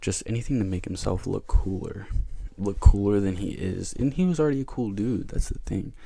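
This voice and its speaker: Soft-spoken, a man with a fairly low pitch and a dark, mellow tone talks at a fairly quick pace with ordinary pitch variation. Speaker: ASMR youtuber. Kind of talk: casual ramble.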